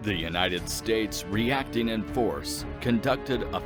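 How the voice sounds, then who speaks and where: A man's very deep, low voice with very wide pitch swings, a fairly slow pace, and music in the background. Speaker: voice actor. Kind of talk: documentary lore narration.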